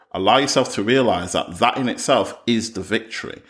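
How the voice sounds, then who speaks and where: This is an ordinary speaking voice, delivered at a moderate pace with ordinary pitch variation. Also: man, very clean recording, silent background. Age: 30s. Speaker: podcast host. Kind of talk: solo podcast monologue.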